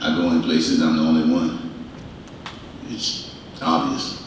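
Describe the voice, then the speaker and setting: A man with an American accent, recorded with audible room echo and noticeable background noise. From US South. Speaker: panelist, university alumnus. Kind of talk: panel discussion.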